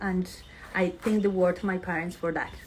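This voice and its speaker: Speaking with a Colombian accent, a woman has a somewhat breathy, medium-pitched voice and fairly even intonation. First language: Spanish. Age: 30s. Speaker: fashion label founder. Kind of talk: live stream chat with followers. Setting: Instagram live, outdoors in sun. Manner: hesitant, many fillers.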